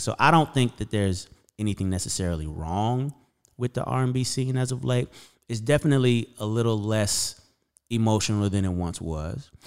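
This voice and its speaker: A man with an American accent and a normal speaking voice, medium in pitch, at a fairly quick pace with lively intonation. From Las Vegas, US; Arkansas, US South. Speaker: singer-songwriter and producer. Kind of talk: casual interview chat. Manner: casual, profane.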